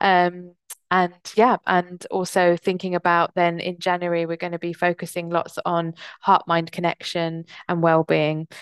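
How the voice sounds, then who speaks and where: A woman with a southern English accent speaks at a moderate pace in a fairly low pitch. The sound is dry and close with no echo, over a quiet background. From England, Kent (moved from US at nine). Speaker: diversity and mental health consultant. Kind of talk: interview.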